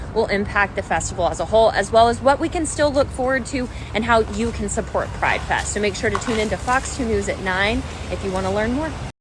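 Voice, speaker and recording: Speaking at a fairly quick pace, a woman with an American accent is heard over noticeable background noise. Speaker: TV news anchor and reporter. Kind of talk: live field reporter stand-up. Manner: conversational, direct address to camera.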